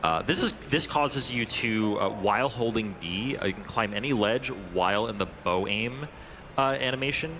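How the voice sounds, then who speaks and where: Against noticeable background noise, a man with a fairly low pitch talks at a moderate pace with ordinary pitch variation. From New England. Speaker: speedrun commentator. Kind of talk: live commentary. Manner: halting, many fillers.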